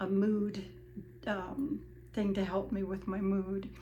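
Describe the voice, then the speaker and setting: Speaking very slowly at medium pitch, a woman shows vocal fry and fairly even intonation against audible room echo. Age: 70s. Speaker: vlogger sharing personal weight loss journey. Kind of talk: personal testimony monologue. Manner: hesitant, many fillers.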